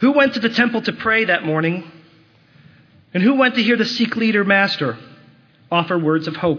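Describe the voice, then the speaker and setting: Pausing long and often, a man speaks in a high voice with lively intonation. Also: moderate pace. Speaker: rabbi. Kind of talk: impassioned holiday sermon building to a call to action. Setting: synagogue service before congregation. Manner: urgent, rhetorical questioning with rising moral conviction; earnest and exhortative, pleading with congregation.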